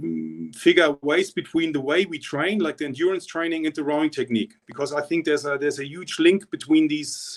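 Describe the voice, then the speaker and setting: A man with a German accent speaks at a moderate pace in a fairly high pitch, his intonation flat and monotone. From East Germany. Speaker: rowing coach. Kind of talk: interview. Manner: halting, many repetitions.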